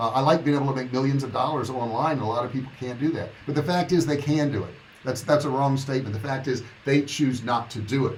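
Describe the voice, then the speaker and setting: Amid audible room echo and noticeable background noise, a man talks at a very fast pace with medium pitch and fairly even intonation. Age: 60s. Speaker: online business coach. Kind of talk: livestream monologue. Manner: casual, conversational.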